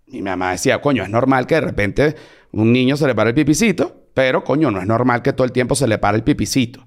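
Very fast speech comes from a man whose pitch varies in an ordinary way. The background is silent and the recording very clean. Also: medium pitch for a man. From Venezuela. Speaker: comedian. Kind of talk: casual chat.

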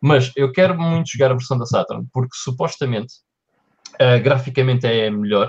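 The voice is somewhat breathy, with ordinary pitch variation. The sound is dry and close, with no echo. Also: man. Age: 30s. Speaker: podcast co-host. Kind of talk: casual chat. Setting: live-streamed podcast recording.

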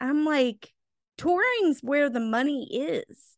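In a dry, close recording with no echo, a woman projects a raised voice at a high pitch, bright and sharp in tone, very slow in pace, with very wide pitch swings. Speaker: podcast co-host, movie reviewer. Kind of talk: casual chat. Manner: laughs often.

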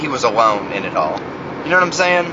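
Noticeable background noise runs beneath an American accent delivered at a moderate pace. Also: man. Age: 20s. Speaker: podcast host. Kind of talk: solo monologue. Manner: rambling, repetitive.

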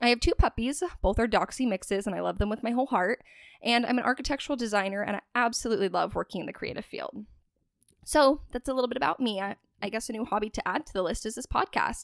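A woman with a West Coast US accent, fairly high-pitched and lively, at a very fast pace, in a very clean recording with a silent background and a dry, close sound with no echo. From US Pacific Northwest (Spokane, Washington). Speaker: podcast host. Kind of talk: casual monologue; scripted narration.

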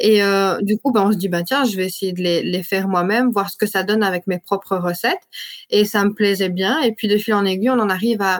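A woman with an unremarkable speaking voice, medium in pitch, talks at a moderate pace with fairly even intonation. The sound is dry and close, with no echo. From Belgium, Liège area. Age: 20s. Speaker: entrepreneur. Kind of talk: interview.

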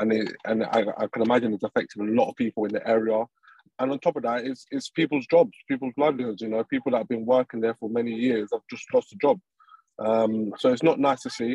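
With a London accent, a man speaks at a very fast pace in a dark, mellow tone of medium pitch, his intonation fairly even and the sound dry and close with no echo. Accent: English (London area). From England (from age six or seven, born in Colombia). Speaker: professional footballer. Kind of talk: interview. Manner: hesitant, many ums.

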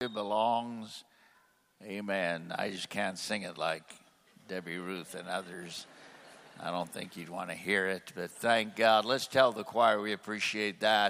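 With a bright, sharp tone and a fairly low pitch, a man speaks with fairly even intonation while his loudness swings widely. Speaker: conference host introducing the preacher. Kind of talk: introduction at a church conference. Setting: church stage with audience. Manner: warm, hesitant with fillers.

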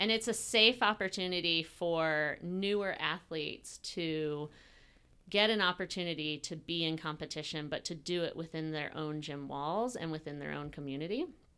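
A woman with an American accent speaks at a moderate pace in a fairly low, bright, sharp voice with ordinary pitch variation, recorded very cleanly against a silent background. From US South, coastal Georgia. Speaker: gym owner and fitness coach. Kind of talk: casual interview. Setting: gym. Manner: animated.

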